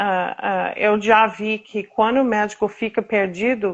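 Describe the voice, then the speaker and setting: Speaking at a very slow pace, a woman talks with an American accent. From United States. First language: English (speaking Portuguese). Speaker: patient advocate. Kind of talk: interview. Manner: halting.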